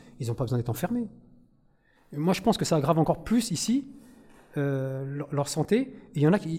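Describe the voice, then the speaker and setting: Somewhat breathy speech at a fairly quick pace. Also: man. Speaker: audience member, prison inmate. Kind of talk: audience question. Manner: halting.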